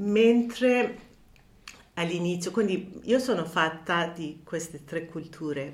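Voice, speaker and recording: A woman with a Persian accent talks very slowly at a fairly low pitch, with audible room echo. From Iran, Tehran. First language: Persian (speaking Italian). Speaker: counselor. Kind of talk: interview. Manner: halting, many fillers.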